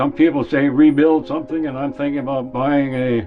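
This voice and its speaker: Music plays behind a man speaking at medium pitch and a moderate pace. His pitch varies in an ordinary way. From North Dakota. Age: 80s+. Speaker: wildfire survivor. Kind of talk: documentary interview answer.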